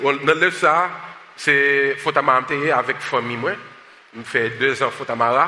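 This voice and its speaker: Against noticeable background noise, a man with a fairly high pitch speaks at a fairly slow pace with ordinary pitch variation. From United States. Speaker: pastor and social justice activist. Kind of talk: sermon. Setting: church service with congregation, also streamed online.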